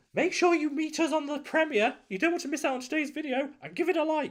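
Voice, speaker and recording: Putting on a character voice, a man talks very fast in an extremely high, squeaky pitch. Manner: silly, cutesy.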